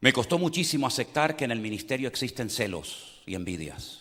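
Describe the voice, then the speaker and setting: The voice has a bright, sharp tone and vocal fry, moving at a fairly quick pace with very wide pitch swings and hardly any pauses. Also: man. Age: 60s. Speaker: pastor. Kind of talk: sermon.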